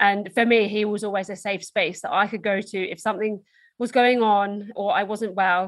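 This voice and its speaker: In an Essex accent, a woman speaks at a moderate pace with medium pitch and flat, monotone intonation against a quiet background. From Essex, England. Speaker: motivational speaker and endurance athlete. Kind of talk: casual interview chat.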